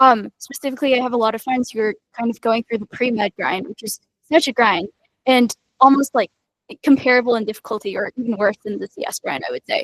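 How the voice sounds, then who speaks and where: A fairly quick, high-pitched woman's voice with ordinary pitch variation, dry and close with no echo. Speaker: student software engineer panelist. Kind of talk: panel Q&A answer. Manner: fast.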